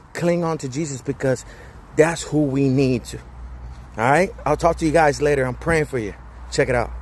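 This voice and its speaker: A somewhat breathy voice at a moderate pace, fairly even in intonation, with long, frequent pauses. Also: man, fairly high pitch for a man. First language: Spanish. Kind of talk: motivational talk. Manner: casual, with hesitations.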